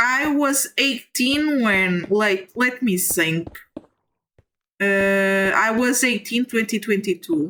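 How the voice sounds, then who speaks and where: Very slow, lively intonation from a woman with a fairly high pitch and very even loudness. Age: 20s. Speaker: streamer. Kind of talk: casual chat. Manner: animated; halting.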